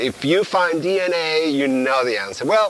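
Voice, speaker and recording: A man speaks with a Spanish accent and lively intonation at a moderate pace. Noticeable background noise runs behind him. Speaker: biology professor. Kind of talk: lecture. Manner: halting. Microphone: poor audio quality at times.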